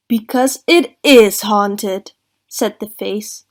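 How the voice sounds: Behind a natural reading voice, the background stays quiet. Its pitch varies in an ordinary way.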